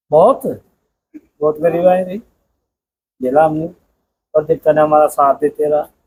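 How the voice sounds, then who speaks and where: With long, frequent pauses, a man talks in a fairly high pitch and ordinary pitch variation. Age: 60s. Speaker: village temple priest. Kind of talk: interview.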